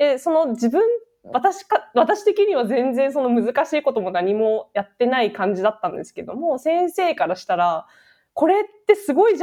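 A woman's high voice in a dark, mellow tone, with very wide pitch swings, big swings in loudness and a moderate pace. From Japan. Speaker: podcast co-host, tech company worker. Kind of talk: casual chat.

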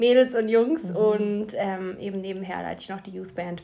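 Moderate pace, medium pitch and ordinary pitch variation from a woman with an ordinary speaking voice. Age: 20s. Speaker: social worker. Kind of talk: casual chat.

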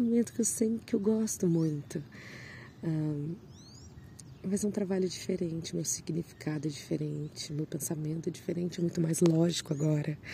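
A woman with a fairly low pitch and a dark, mellow, somewhat breathy tone speaks at a moderate pace with ordinary pitch variation. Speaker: solo podcaster sharing personal reflections. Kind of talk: reflective personal monologue. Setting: outdoors, seated among birdsong.

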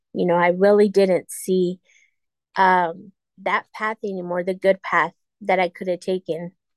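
A woman speaks fairly slowly at medium pitch in a monotone, flat delivery, with a dry, close sound and no echo. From New Mexico. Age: 40s. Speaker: recovering addict. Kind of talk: testimony.

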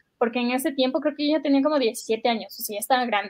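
A woman talks in a high pitch. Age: 20s. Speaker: podcast co-host. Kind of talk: casual chat.

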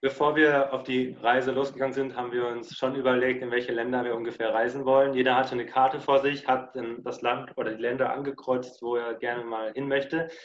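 The delivery is fairly quick and monotone with flat intonation, hardly any pauses, and noticeable background noise behind it. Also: man, medium pitch for a man. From southwest Germany, Lörrach. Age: 20s. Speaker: long-term hitchhiking traveller. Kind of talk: interview. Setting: video call.

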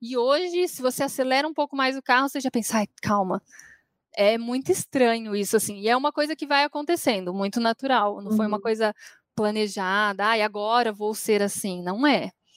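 Recorded very cleanly with a silent background and a dry, close sound with no echo, a woman speaks at a fairly quick pace in a fairly high pitch with ordinary pitch variation. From São Paulo, Brazil. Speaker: university tutor and radio presenter. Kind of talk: interview.

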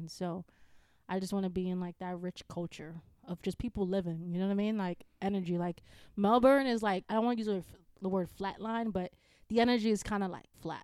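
The speaker uses ordinary pitch variation. The voice carries a Bronx accent. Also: woman. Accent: New York, Bronx. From New York, the Bronx. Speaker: engineer. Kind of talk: casual chat.

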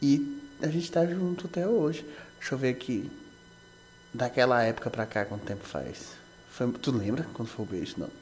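With noticeable background noise behind him, a man of medium pitch speaks at a moderate pace, using lively intonation and long, frequent pauses. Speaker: podcast co-host, husband. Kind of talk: casual chat.

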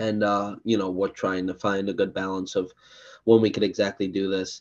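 A man's fairly low voice at a moderate pace, a normal speaking voice. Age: 20s. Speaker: podcast host. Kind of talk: casual chat.

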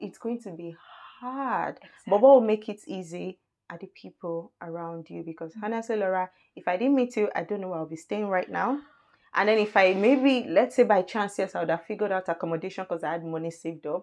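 A woman talks very fast, her loudness swinging widely and her pitch varying in an ordinary way. The background is quiet. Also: medium pitch for a woman. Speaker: guest, friend of host. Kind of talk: casual chat.

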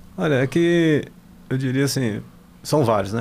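A man speaks at a moderate pace. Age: 60s. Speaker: company CEO. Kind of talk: interview.

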